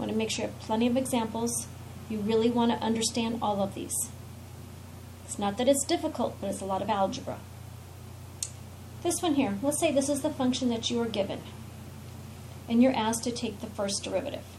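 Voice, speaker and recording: Audible room echo surrounds speech that moves at a fairly quick pace yet has long, frequent pauses. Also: woman. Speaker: math teacher. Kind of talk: lecture. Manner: fast.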